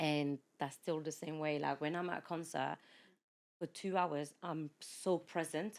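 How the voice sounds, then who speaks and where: In a French accent, a woman speaks at a fairly slow pace with a very deep, low pitch. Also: very clean recording, silent background. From France, of Mauritian parents. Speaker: podcast guest, former teacher, mother. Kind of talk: casual chat. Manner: animated.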